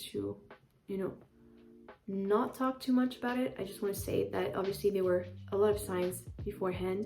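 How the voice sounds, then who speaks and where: A woman with a French accent at a moderate pace, long, frequent pauses and music in the background. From France (Paris). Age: 20s. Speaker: YouTuber. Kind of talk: casual vlog. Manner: hesitant, many fillers.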